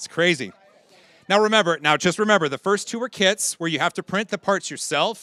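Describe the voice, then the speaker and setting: A man's high, bright and sharp voice, upbeat and energetic, very fast, with ordinary pitch variation. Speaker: auctioneer. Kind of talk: live charity auction calling. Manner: upbeat, fast, energetic.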